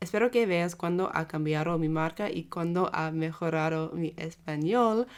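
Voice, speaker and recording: A woman speaks with an English accent at a fairly low pitch. Her pitch variation is ordinary. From Australia. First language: English (speaking Spanish). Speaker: fashion brand owner, vlogger. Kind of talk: vlog talk to camera. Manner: careful, partly reading notes.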